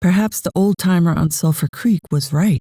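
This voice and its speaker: A somewhat breathy voice with a dark, mellow tone speaks at a fairly slow pace with an American accent. The sound is dry and close, with no echo. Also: woman. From United States. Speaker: audiobook narrator. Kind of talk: audiobook reading. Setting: home studio.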